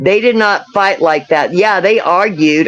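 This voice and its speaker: A woman's medium-pitched voice with ordinary pitch variation at a moderate pace. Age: 60s. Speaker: missing woman's sister. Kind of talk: live stream interview. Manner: halting.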